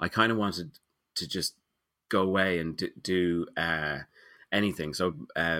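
In a Dublin accent, a man speaks at a very deep, low pitch with a bright, sharp tone. He keeps a fairly slow pace and fairly even intonation in a very clean recording with a silent background. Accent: Dublin Irish. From Ireland, Dublin. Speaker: illustrator and picture book author. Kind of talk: interview conversation. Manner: halting, many fillers and repetitions.

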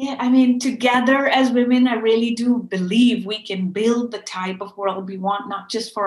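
Somewhat breathy and fairly high in pitch, a woman talks at a moderate pace with ordinary pitch variation. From Pakistan, Karachi. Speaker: fashion activist and company founder. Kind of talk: interview. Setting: remote call.

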